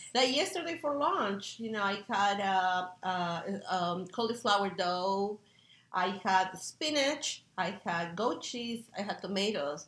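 At a very slow pace, a woman speaks at medium pitch with lively intonation. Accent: Spanish. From Peru. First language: Spanish. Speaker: chef. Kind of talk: interview.

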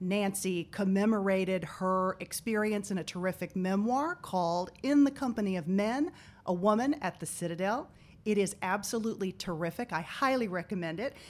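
A woman speaks at a moderate pace with a medium pitch. She has a plain, everyday voice and ordinary pitch variation. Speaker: podcast host. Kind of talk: interview.

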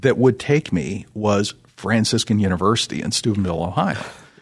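A man speaks in an unremarkable speaking voice. His intonation is lively and his pace moderate. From Canada, Toronto area. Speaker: finance executive and radio board chairman. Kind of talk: faith testimony interview.

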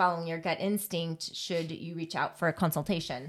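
A woman with an American accent speaks at a medium pitch. The recording is very clean, with a silent background. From US Southwest. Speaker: podcast co-host. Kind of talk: casual chat. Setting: home closet studio. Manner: fast talker.

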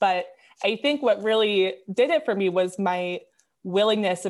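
At a moderate pace, a woman speaks with an Upper Midwestern accent. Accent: Upper Midwestern American. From Wisconsin, US Midwest. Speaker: pharmacy student. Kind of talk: interview. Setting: remote recording from home.

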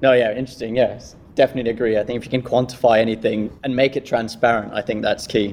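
A man at a very fast pace with hardly any pauses, medium in pitch, with a British accent and monotone, flat intonation. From Kenya. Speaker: corporate employee acting as guest host. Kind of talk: panel interview.

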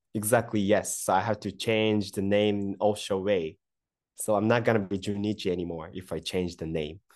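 Over a quiet background, a man with a Japanese accent speaks at a moderate pace in a fairly low pitch with fairly even intonation. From Japan, Kyoto. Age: 30s. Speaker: sake brewery CEO. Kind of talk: interview.

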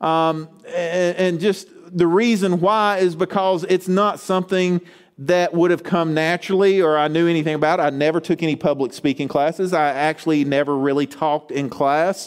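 With music in the background, a man with a high pitch speaks using ordinary pitch variation. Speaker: pastor. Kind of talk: sermon. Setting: church.

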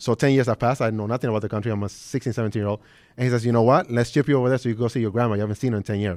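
Very fast speech comes from a man with an American accent, medium pitch and fairly even intonation. The recording is very clean, with a silent background. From Brooklyn, New York. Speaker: real estate developer. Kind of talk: interview before live audience. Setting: stage with audience.

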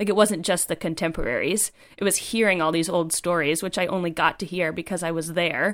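A woman talks with an American accent in an unremarkable speaking voice. Her pitch is fairly low and her intonation fairly even. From US East Coast. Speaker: writer and climber. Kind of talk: casual interview.

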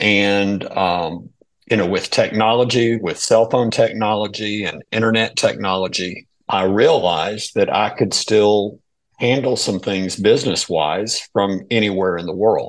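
A man with a Southern US accent talks fairly slowly at a fairly low pitch, his intonation fairly even, against a quiet background. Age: 60s. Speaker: financial advisor. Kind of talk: casual chat. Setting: remote call.

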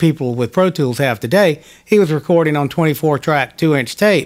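A man with an American accent talks at a moderate pace and a fairly high pitch. He has an ordinary speaking voice with ordinary pitch variation. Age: 50s. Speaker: session guitarist. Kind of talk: interview. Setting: home studio.

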